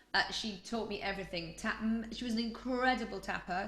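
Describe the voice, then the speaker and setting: With a Yorkshire accent, a woman talks at a moderate pace with fairly even intonation, amid noticeable background noise and audible room echo. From Yorkshire, northern England. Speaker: choreographer. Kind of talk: interview. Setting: podcast.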